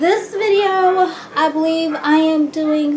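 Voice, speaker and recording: The voice has ordinary pitch variation, and noticeable background noise runs beneath it. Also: woman. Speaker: pregnant mom vlogger. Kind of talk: casual vlog chat. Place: kitchen. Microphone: phone near.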